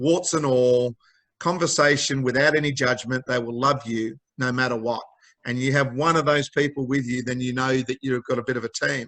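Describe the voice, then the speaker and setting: This man talks at a moderate pace in an Australian accent, with medium pitch and fairly even intonation. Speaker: mental health charity founder. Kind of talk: interview.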